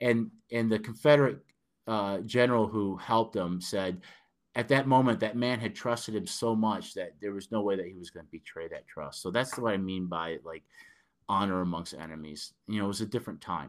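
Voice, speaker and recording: A man with a northern US accent, fairly low pitch, ordinary pitch variation, and big swings in loudness, in a very clean recording with a silent background. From Detroit, Michigan. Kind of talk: casual interview. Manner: hesitant, filler-heavy.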